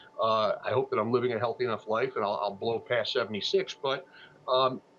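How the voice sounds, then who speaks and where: A man with a medium-pitched voice talks at a fairly quick pace over noticeable background noise. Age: 60s. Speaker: funeral planning platform founder. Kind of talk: TV interview. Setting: TV news streaming broadcast. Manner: halting, many fillers and repeats.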